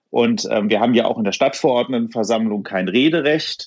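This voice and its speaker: A man's medium-pitched voice at a moderate pace, lively in intonation, with a dry, close sound with no echo against a quiet background. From Hofheim am Taunus, Hesse, Germany. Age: 30s. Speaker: local politician and bank clerk. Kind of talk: interview. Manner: hesitant, many filler sounds.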